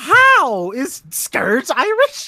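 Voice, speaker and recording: In a put-on character voice, the speaker squeaks at a high pitch with very wide pitch swings. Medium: game stream. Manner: exasperated, touchy.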